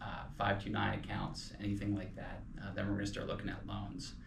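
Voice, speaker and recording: A man speaks in a fairly low pitch with vocal fry and a Pennsylvania Dutch accent. Audible room echo surrounds his voice. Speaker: financial advisor podcast co-host. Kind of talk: casual podcast discussion. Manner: hesitant, many fillers.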